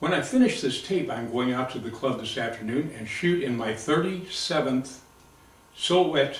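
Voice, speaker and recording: Lively intonation carries the speech at a moderate pace, with audible room echo and noticeable background noise. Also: man. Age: 70s. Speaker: retired Marine veteran and competitive shooter. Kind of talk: audition video monologue.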